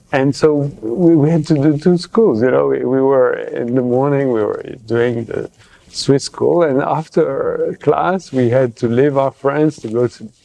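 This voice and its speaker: Noticeable background noise fills the recording. The talking is fairly slow, with ordinary pitch variation. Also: man, fairly high pitch for a man. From Geneva, Switzerland. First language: French. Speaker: public health professor, journal editor. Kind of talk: interview. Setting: conference. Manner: halting, many fillers.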